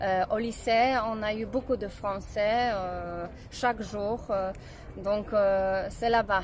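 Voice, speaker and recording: A woman with a Polish accent, fairly high in pitch, with ordinary pitch variation and a very slow pace. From Poland. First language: Polish (speaking French). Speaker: singer. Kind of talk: interview. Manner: halting.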